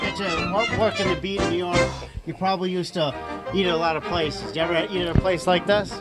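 Loud music plays in the background as a man speaks at a very fast pace. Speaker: infomercial host. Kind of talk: local TV infomercial interview. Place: cafe. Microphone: handheld.

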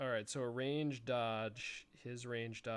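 The voice reads in a natural way. Intonation remains fairly even throughout.

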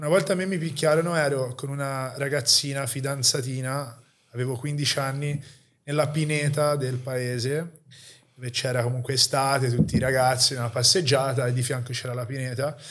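This man has a plain, everyday voice. His pitch sits in the middle range and his pace is moderate. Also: fairly even intonation. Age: 30s. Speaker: podcast host, fitness enthusiast; podcast host. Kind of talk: casual interview. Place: home room. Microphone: studio mic.

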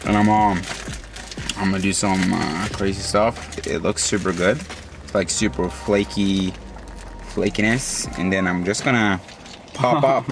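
With faint music in the background, a man speaks at a fairly low pitch and a fairly slow pace, with ordinary pitch variation and long, frequent pauses. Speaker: vlogger. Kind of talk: casual vlog chat. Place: car. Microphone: phone near.

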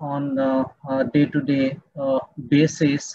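A man's somewhat breathy voice comes through with a dry sound, no echo, and a quiet background. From India. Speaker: dean at business school. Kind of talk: eulogy at online memorial. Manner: halting. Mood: solemn, respectful remembrance. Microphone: video call.

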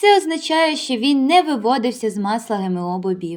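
Lively intonation from a woman speaking. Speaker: medical college student. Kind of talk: student presentation narration. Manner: formal.

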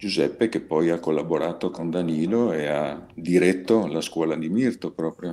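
With hardly any pauses, a man speaks in a very deep, low voice with ordinary pitch variation. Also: moderate pace. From Trieste, northeast Italy. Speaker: peace activist. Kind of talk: webinar presentation. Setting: video call. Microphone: video call.

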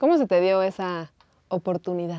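Speaking very slowly in a Mexican accent, a woman has a medium pitch and a dark, mellow tone, heard as dry sound with no echo against a quiet background. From Mexico. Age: 20s. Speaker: interviewer. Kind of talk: casual interview. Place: studio.

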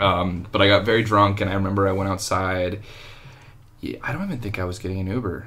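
Quiet, mumbled speech in an American accent, with big swings in loudness. Long pauses come often. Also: man. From California (San Diego). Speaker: actor. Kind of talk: casual chat. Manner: quiet talker, mumbler.

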